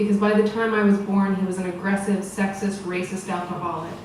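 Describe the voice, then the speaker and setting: A woman speaks at a medium pitch in a flat, monotone way. Noticeable background noise sits behind her. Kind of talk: personal story read at a storytelling event. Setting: live event.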